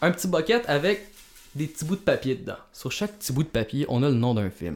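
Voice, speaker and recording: A man with a Quebec accent speaks at a fairly quick pace. The recording is very clean, with a silent background. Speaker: podcast co-host, film critic. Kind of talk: casual chat. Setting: home basement.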